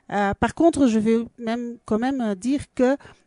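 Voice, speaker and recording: Over a quiet background, a woman with a Belgian accent speaks at a fairly slow pace in a fairly high pitch, her tone dark and mellow, her intonation fairly even, the sound dry and close with no echo. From Belgium. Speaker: dance school and festival organizer. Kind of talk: radio interview. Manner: halting, many fillers.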